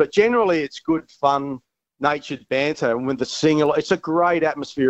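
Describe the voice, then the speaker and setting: In an Australian accent, a man talks at a moderate pace and a fairly high pitch. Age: 40s. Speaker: former cricketer. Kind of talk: casual chat.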